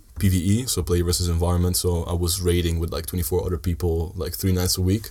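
This man talks at a fairly quick pace, his very deep, low voice somewhat breathy with a dark, mellow tone. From Italy (Sardinia), Dutch-Italian family. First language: Italian (also Dutch). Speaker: student. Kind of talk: casual chat.

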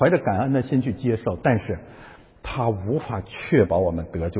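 A man speaks at a moderate pace in an animated tone. His somewhat breathy voice makes very wide pitch swings. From China. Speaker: pastor. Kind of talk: sermon.

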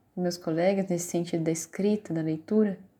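The background is quiet. A woman talks at a medium pitch. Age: 30s. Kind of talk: personal narrative. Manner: halting, many fillers.

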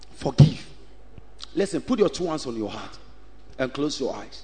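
The tone is animated, the pace fairly slow, and the pitch swings very widely. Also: man. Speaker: preacher. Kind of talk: sermon. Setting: church with congregation. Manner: animated, call-and-response preaching; loud, exhorting, rhythmic repetition.

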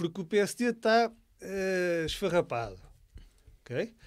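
Very clean recording of a man's voice, silent background. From Portugal, Leiria area. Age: 40s. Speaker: lawyer and local politician. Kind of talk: political interview on live podcast. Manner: halting, repeats words.

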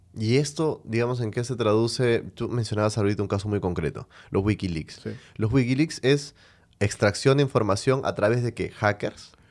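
Recorded very cleanly against a silent background, a man talks in an ordinary speaking voice at medium pitch with ordinary pitch variation. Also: moderate pace. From Venezuela. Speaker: podcast host. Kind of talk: interview.

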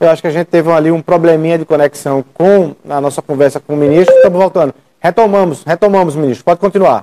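Talking very fast with hardly any pauses, this man has a high pitch, a dark, mellow tone and fairly even intonation. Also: dry, close sound with no echo. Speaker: TV interviewer. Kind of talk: TV interview. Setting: video call.

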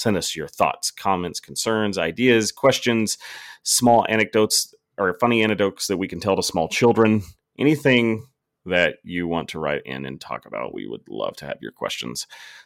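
A man talks at a moderate pace with big swings in loudness. The recording is very clean and silent behind him, with a dry, close sound and no echo. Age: 30s. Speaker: gaming podcast host. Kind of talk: casual chat.

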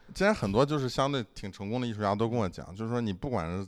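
Over a very clean recording with a silent background, a man talks very fast at a fairly low pitch with ordinary pitch variation. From Shandong, China. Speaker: podcast host. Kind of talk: casual chat.

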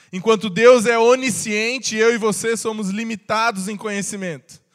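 The intonation is fairly even and the pace moderate. The recording is very clean, with a silent background. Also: man. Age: 20s. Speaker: pastor. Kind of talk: sermon. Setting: church.

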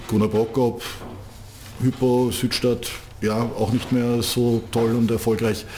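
A monotone, flat delivery at a very slow pace, with long, frequent pauses over noticeable background noise. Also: man, medium pitch for a man. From Austria, Vienna. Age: 50s. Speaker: handball club manager. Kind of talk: interview. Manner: repeats words, hesitant fillers.

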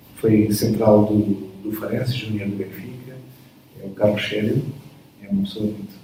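Amid noticeable background noise, a man speaks at a moderate pace in a monotone, flat, fairly low voice, with big swings in loudness and long, frequent pauses. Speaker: athletics coach. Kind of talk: interview. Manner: halting.

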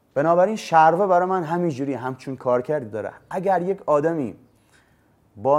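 Here a man talks at a very fast pace. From Bushehr, southern Iran. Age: 30s. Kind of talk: personal monologue to camera. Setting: filmed in front of a camera.

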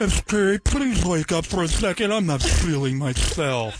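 Using a put-on character voice at a middle pitch, the speaker goes at a fairly slow pace. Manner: mock depressed, listless.

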